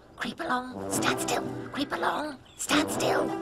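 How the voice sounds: In a cartoonish character voice with vocal fry, a woman speaks at a high pitch and a fairly slow pace, her fairly bright tone showing ordinary pitch variation as faint music plays in the background.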